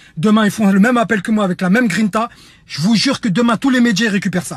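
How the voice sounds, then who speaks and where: A man with a high-pitched voice talks loudly and very fast, his tone animated and his pitch varying in an ordinary way. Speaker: reality TV personality turned activist. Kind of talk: impassioned video message, call to action. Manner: animated, emphatic.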